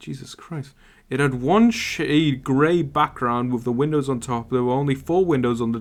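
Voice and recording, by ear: Natural-voiced reading aloud, its pitch varying in an ordinary way.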